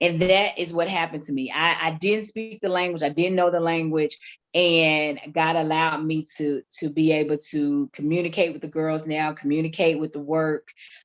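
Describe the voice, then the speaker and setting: A woman's very deep, low voice with a strong Southern US accent and fairly even intonation, hardly any pauses, and music in the background. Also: moderate pace. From US South. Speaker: ministry founder. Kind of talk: testimony.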